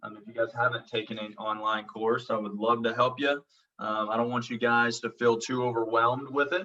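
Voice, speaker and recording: A man with an American accent speaks at a fairly quick pace and medium pitch. His intonation is monotone and flat, while his loudness swings widely. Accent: Oklahoma accent, sometimes thick. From Oklahoma. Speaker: college instructor. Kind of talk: online lecture. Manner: many fillers (um, uh).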